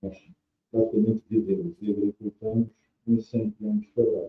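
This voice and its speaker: A man at a fairly quick pace. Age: 60s. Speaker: winemaker. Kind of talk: interview. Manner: halting.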